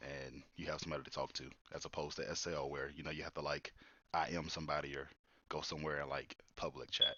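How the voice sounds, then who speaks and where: A man speaks with vocal fry. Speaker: podcast host. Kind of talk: casual chat. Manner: monotone.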